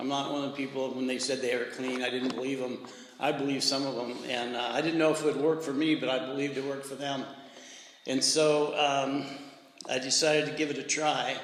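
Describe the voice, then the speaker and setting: Amid noticeable background noise and audible room echo, a man speaks at a fairly high pitch with monotone, flat intonation. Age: 70s. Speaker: recovery speaker at men's retreat. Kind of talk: testimony.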